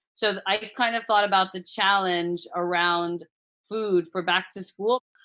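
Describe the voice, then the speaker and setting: With an American accent, a woman of medium pitch and a bright, sharp tone talks at a fairly slow pace with fairly even intonation. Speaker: food brand founder. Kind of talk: podcast interview.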